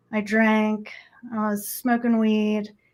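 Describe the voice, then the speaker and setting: A woman with a Midwestern accent speaks slowly-ish, at a fairly slow pace, with a fairly high pitch and monotone, flat intonation. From US Midwest (Nebraska). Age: 40s. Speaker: energy healer. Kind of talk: interview testimony.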